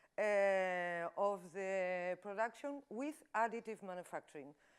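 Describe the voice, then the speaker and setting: A woman with a Spanish accent speaks at a medium pitch and a fairly slow pace. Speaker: industrial designer and 3D printing consultant. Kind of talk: conference talk. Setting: stage with audience. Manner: halting.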